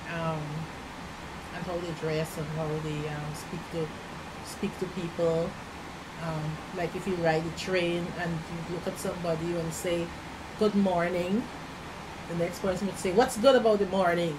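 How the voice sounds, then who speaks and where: A woman's fairly low voice in a Guyanese accent, moderately paced with fairly even intonation and long, frequent pauses, amid noticeable background noise and audible room echo. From Guyana. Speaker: immigrant interviewee. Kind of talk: interview. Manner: halting.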